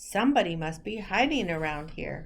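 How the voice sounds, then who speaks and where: Against clear background noise, a raspy put-on character voice swings very widely in pitch at a moderate pace. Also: woman. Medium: read story.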